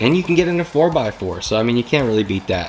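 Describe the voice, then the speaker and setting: A man rattles along very fast with ordinary pitch variation as noticeable background noise plays behind him. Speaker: YouTuber reviewing used trucks. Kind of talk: casual video talk to camera. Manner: casual, filler-heavy.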